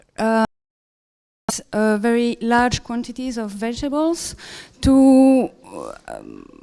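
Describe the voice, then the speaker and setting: Speaking at a very slow pace with long, frequent pauses, a woman with a non-native accent uses a dark, mellow tone, a high pitch and fairly even intonation. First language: not English. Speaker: organic food market operator, conference presenter. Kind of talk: conference presentation. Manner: halting, many fillers and self-corrections.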